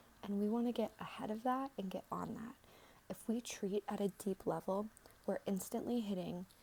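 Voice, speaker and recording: A soft-spoken woman talks at a moderate pace in a gentle, somewhat breathy tone. Her medium pitch stays fairly even in intonation. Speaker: aesthetician giving a skin consultation (role play). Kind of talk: ASMR role-play skin consultation. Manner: soft-spoken, gentle, friendly.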